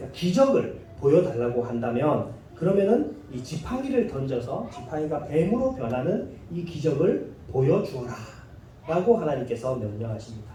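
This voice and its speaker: Fairly high-pitched male voice with very wide pitch swings at a moderate pace, plus audible room echo and noticeable background noise. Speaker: pastor. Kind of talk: sermon.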